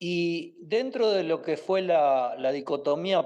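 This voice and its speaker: A man with an Argentine accent talks very slowly, with lively intonation. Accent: Argentine Spanish (Rioplatense). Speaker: interview guest on Argentine history. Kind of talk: interview answer. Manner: hesitant, many fillers.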